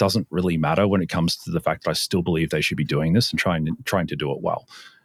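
On a very clean recording with a silent background, a man speaks with an Australian accent in a dry, close sound with no echo. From Sydney, Australia. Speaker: cybersecurity company founder. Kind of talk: casual interview.

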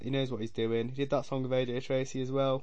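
A man speaks at a medium pitch in an English accent. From England. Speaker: podcast host, music commentator. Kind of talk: solo monologue, casual opinion ranking. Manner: casual, rambling.

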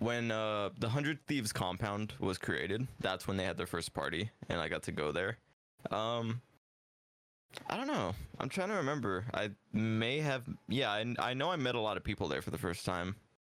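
A man with a normal speaking voice talks at a fairly low pitch and a moderate pace, his loudness very even and his intonation lively. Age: 20s. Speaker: social media content creator. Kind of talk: casual chat.

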